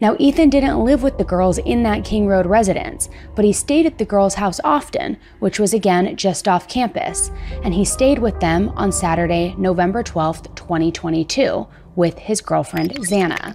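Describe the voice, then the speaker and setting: Clear music plays in the background as the speech moves at a moderate pace. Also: woman. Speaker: true crime narrator. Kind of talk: documentary narration. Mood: serious, somber. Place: studio. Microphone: studio mic.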